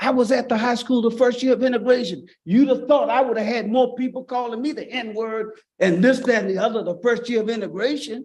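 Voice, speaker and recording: With a Virginia accent, a man talks in an extremely high pitch at a fairly quick pace, with fairly even intonation and hardly any pauses. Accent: Southern US (Virginia). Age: 60s. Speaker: pastor. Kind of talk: public comment at school board meeting. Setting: public meeting.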